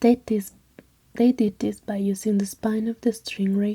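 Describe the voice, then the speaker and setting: Someone whispers in a soft-spoken way with a non-native accent. The pace is moderate. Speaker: ASMR creator. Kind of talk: ASMR story reading. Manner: soft-spoken, whispery.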